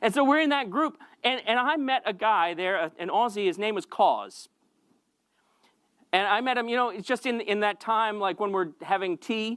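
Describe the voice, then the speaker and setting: A man with a high pitch and an American accent, moderate pace and ordinary pitch variation, on a very clean recording with a silent background. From United States. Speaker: pastor. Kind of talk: sermon. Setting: church. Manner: halting, many repetitions.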